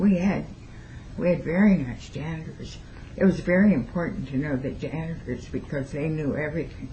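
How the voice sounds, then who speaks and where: A woman's very deep, low voice with ordinary pitch variation, a moderate pace and audible room echo. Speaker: retired teacher. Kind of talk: oral history interview. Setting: at her home.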